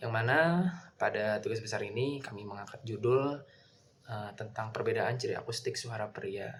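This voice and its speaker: A man's medium-pitched voice with fairly even intonation and noticeable background noise. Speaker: university student. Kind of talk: class presentation.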